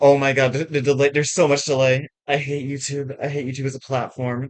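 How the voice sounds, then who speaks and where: Here a man talks at a fairly quick pace and a fairly high pitch. His intonation stays monotone and flat. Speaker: livestreamer. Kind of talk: casual livestream chat. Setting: livestream. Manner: loud; halting.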